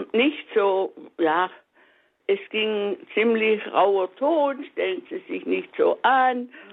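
A woman's voice sits fairly high. It swings very widely in pitch. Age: 80s+. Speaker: radio caller. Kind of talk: call-in testimony.

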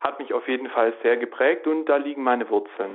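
A man speaks at a moderate pace. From Swabia, southern Germany (Reutlingen). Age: 20s. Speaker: law student. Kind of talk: testimony. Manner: hesitant with many filler sounds.

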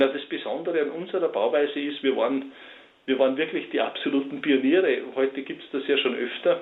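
A fast-ish male speaker with big swings in loudness. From Austria, Salzburg region. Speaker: forester and timber builder. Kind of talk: radio interview. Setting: phone call.

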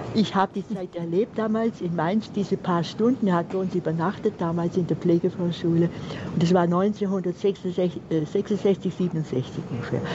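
Noticeable background noise surrounds a woman speaking at a fairly slow pace. Her pitch is medium and her intonation fairly even. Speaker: caller. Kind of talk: phone-in call. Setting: phone call.

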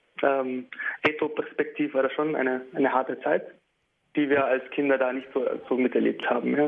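Long, frequent pauses break up a man's speech, which otherwise runs at a moderate pace. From Beit Jala near Bethlehem, Palestine. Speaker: musician. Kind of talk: radio interview. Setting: remote line to radio studio. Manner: hesitant, many filler sounds.

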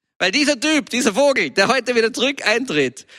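A man's raised, projected voice with a bright, sharp tone and very wide pitch swings, on a very clean recording with a silent background. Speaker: preacher. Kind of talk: sermon.

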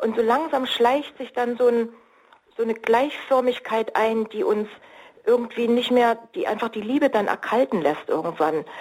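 A woman talks with lively intonation in a fairly high voice at a moderate pace, noticeable background noise behind her. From East Germany. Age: 60s. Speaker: marriage counselor and coach. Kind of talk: radio interview. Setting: remote line.

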